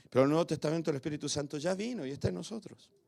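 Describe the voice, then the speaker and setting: His pitch shows ordinary variation. The man talks at a very fast pace. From Argentina. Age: 60s. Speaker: pastor. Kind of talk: sermon. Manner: animated.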